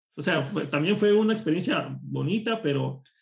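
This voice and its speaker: At a moderate pace, a man speaks in a somewhat breathy voice. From Costa Rica. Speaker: programming instructor. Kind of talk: casual interview chat. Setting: home office, remote call.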